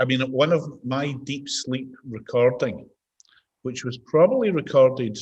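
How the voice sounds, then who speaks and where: A man speaks at a fairly slow pace with a Scottish accent. His voice is somewhat breathy, with fairly even intonation. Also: medium pitch for a man. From Scotland. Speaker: mindfulness and behaviour change expert. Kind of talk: interview answer. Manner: conversational, relaxed.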